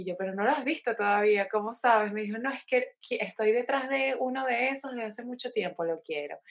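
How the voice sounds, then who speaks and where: At a fairly quick pace with hardly any pauses, a plain, everyday voice speaks with lively intonation. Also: woman, fairly high pitch for a woman. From Venezuela, Caracas. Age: 20s. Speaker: craft entrepreneur. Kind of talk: interview.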